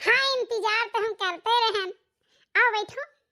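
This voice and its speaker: In a cartoonish character voice, a woman sounds squeaky and extremely high-pitched. She keeps a moderate pace and fairly even intonation. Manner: polite, earnest.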